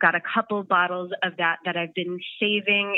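A woman speaks in a normal speaking voice, pitched fairly low for a woman. Her pace is moderate. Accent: American. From US, Portland, Maine. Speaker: brewery production manager. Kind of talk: casual chat. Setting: phone call.

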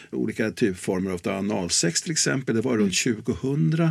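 Over a silent background in a very clean recording, a man with a fairly low pitch speaks at a moderate pace, his pitch swinging very widely. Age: 70s. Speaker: sex and relationships educator. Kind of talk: interview.

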